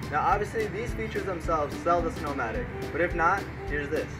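This man speaks very fast. There is music behind his voice. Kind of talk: mock TV infomercial read.

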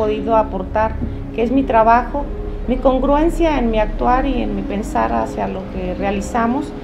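Over clear background music, a woman talks in a fairly high pitch. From Zitácuaro, Michoacán, Mexico; Michoacán. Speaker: political candidate, lawyer; candidate, lawyer. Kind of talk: interview. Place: cafe.

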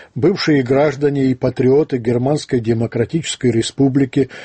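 Somewhat breathy, a man talks at a moderate pace with fairly even intonation. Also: quiet background. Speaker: radio host. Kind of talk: radio commentary reading listener letters. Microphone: studio mic.

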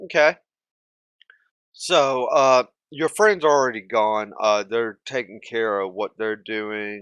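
A man speaks slowly at a medium pitch with ordinary pitch variation. His tone is clear, smooth and fairly bright, in a dry, close sound with no echo.

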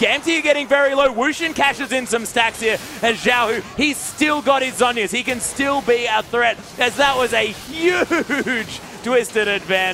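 A man projects his raised voice while noticeable background noise fills the clip. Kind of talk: esports commentary.

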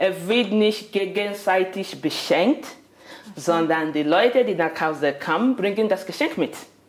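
A woman speaks at a fairly slow pace with a medium-pitched voice. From Nigeria. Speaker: migrant guest; interviewee. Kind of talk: casual interview. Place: kitchen.

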